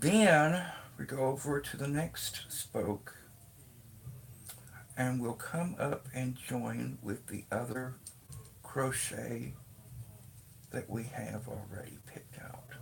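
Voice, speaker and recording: A man's medium-pitched voice with vocal fry, ordinary pitch variation, a very slow pace and long, frequent pauses. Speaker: crochet vlogger. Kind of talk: tutorial. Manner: halting.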